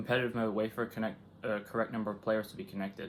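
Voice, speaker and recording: This man has a fairly low pitch and talks at a very fast pace. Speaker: gaming YouTuber. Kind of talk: let's play commentary. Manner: casual, rambling; loud.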